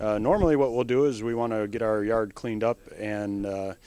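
A man talks in an ordinary speaking voice with ordinary pitch variation. The sound is dry, with no echo. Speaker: presenter. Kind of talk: tutorial. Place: shop. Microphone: handheld.

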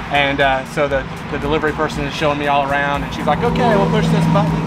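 There is music in the background. Over it, a man talks at a fairly quick pace. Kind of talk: casual explanation to friends. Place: street. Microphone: phone near.

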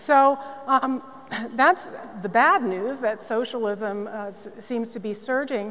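Light background noise sits behind a woman talking at a very slow pace and a fairly high pitch. Her loudness swings widely, while her pitch varies in an ordinary way. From Massachusetts, Newton; Massachusetts. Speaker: nonprofit CEO; panelist. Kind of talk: panel discussion. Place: stage.

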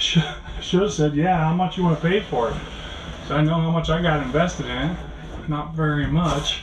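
Noticeable background noise runs behind a man who is speaking at a moderate pace. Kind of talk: casual vlog chat.

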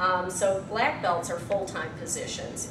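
With noticeable background noise behind her, a woman speaks at a fairly slow pace. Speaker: presenter. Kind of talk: lecture. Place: meeting room. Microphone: camera far.

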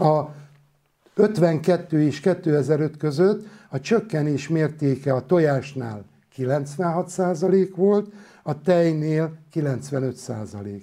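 A man speaks at a very slow pace with a fairly high pitch and ordinary pitch variation. His tone is dark and mellow against a quiet background. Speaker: doctor and author; interviewee. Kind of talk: public lecture. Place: studio. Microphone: lapel.

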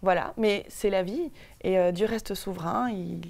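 Ordinary pitch variation from a female speaker. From Paris, France. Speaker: guest. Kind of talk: TV interview. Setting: TV studio. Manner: hesitant, many fillers. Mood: calm, earnest, reflective. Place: studio. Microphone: lapel.

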